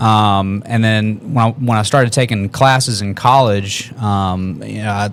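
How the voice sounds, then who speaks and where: In an ordinary speaking voice, a man with an American accent talks at a moderate pace in a fairly low pitch with fairly even intonation. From US South, Columbus, Georgia. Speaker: musician. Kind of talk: casual chat.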